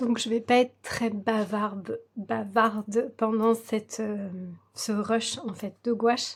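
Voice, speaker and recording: Speaking at a very slow pace, a woman keeps her fairly high pitch in a monotone, flat intonation. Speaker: coloring hobby youtuber. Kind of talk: tutorial. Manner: slow, breathless.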